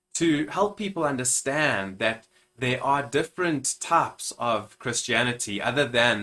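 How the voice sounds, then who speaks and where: A man with a South African accent, moderate pace and ordinary pitch variation. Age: 30s. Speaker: minister and YouTuber. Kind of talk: channel introduction vlog.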